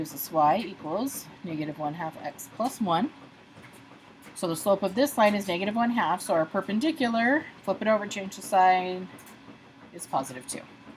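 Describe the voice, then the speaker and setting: Somewhat breathy and medium in pitch, a woman speaks at a moderate pace. Her intonation is lively, with big swings in loudness. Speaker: math teacher. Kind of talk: tutorial.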